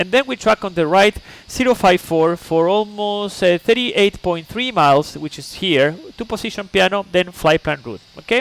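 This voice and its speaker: The voice, with a Chilean accent, has a dry, close sound with no echo, along with noticeable background noise. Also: man, high pitch for a man, ordinary pitch variation, moderate pace, big swings in loudness. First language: Spanish. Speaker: flight simulator streamer. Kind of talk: live-stream flight briefing. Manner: halting.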